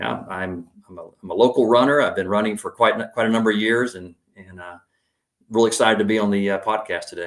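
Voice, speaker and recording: Recorded very cleanly with a silent background, a man with an American accent and an unremarkable speaking voice talks at a fairly quick pace in a fairly low pitch, his intonation fairly even but his loudness swinging widely. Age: 50s. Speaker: tech salesman and runner. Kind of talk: podcast interview.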